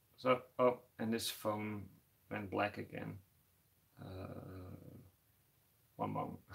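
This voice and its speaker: A man with a Dutch accent talks at a very slow pace, leaving long, frequent pauses. His voice sits fairly low, with fairly even intonation. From Netherlands. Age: 30s. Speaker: tarantula keeper YouTuber. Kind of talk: live stream chat. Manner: halting, many fillers and repeats.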